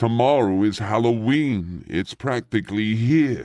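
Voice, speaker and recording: A man's growling, put-on character voice at a medium pitch and a fairly slow pace. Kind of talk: comic villain voices in rhymed story. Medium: audio drama. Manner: snarling, sneering.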